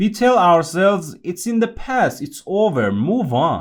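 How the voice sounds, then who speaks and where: With a non-native accent, a man speaks at a very slow pace on a very clean recording with a silent background. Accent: non-native accent, noticeable. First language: not English. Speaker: podcast host. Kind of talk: scripted monologue.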